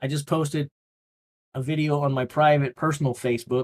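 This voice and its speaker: A man with an ordinary speaking voice talks at a moderate pace and fairly even intonation, in a very clean recording with a silent background. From Missouri. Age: 50s. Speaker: livestream host. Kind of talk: casual livestream commentary.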